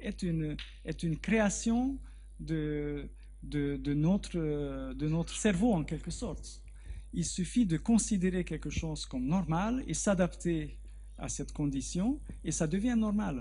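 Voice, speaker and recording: Audible room echo hangs around the voice. The man talks very slowly. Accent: Hungarian. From Hungary. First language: Hungarian (speaking French). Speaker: research biologist. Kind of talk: Q&A after a lecture. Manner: halting, with repetitions.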